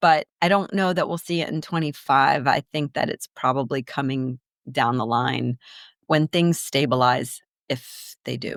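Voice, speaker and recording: At a fairly slow pace, a woman with an American accent speaks in a very deep, low pitch with ordinary pitch variation. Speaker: business development executive. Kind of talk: podcast interview. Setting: studio. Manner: animated; extemporaneous.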